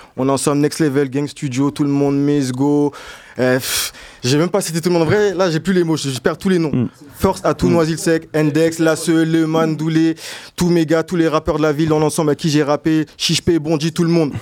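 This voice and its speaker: Fairly high in pitch, a man speaks in a plain, everyday voice at a fairly quick pace with fairly even intonation. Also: very even loudness. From Noisy-le-Sec, Seine-Saint-Denis (93). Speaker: rapper. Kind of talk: casual chat.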